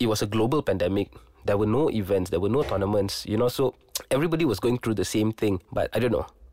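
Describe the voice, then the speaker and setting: A man talks at a very fast pace with very even loudness. The sound is dry and close with no echo, over noticeable background noise. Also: ordinary pitch variation. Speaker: sports podcast host. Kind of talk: casual interview chat. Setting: studio.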